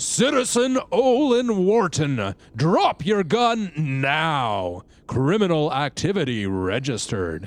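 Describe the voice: Putting on a character voice, a man talks at a fairly slow pace with hardly any pauses, using a fairly high pitch and very wide pitch swings.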